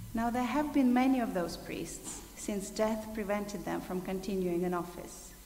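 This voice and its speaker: Lively in intonation, a woman speaks at a medium pitch and fairly slow pace, with audible room echo and noticeable background noise. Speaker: scripture reader. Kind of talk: reading aloud. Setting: church.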